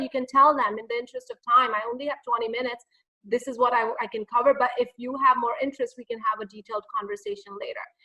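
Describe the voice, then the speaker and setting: A woman speaks very fast in a raised, projected voice. Her tone is bright and sharp. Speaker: public speaking coach. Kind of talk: webinar Q&A. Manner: animated.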